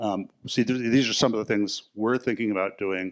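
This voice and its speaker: At a very fast pace, a man with a fairly low pitch and ordinary pitch variation is heard on a very clean recording with a silent background. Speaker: themed entertainment designer. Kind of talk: conference panel talk.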